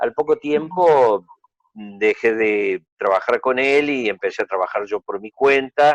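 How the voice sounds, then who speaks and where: A man speaks at a fairly slow pace. The sound is dry and close, without any echo. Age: 60s. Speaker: art dealer and collector. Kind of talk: interview. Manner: hesitant, many fillers.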